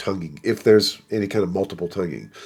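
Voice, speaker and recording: With an American accent, a man speaks at a fairly quick pace in an unremarkable speaking voice with ordinary pitch variation. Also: very clean recording, silent background. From US South, South Florida. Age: 60s. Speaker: trumpet professor. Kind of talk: casual interview.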